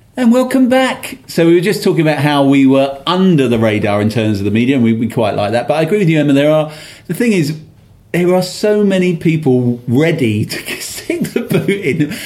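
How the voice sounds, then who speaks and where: A man talks at a fairly quick pace with a fairly high pitch. His pitch swings very widely, and audible room echo surrounds him. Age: 50s. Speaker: football podcast host. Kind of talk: casual chat.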